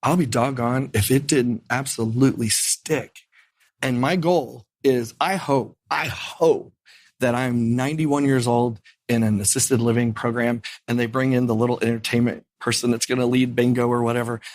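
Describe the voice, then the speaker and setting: Here a man speaks with an Indiana accent. His loudness stays very even. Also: medium pitch for a man, moderate pace. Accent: Midwestern US (Indiana). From Indiana, Lafayette. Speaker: piano bar entertainer. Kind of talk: interview. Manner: animated.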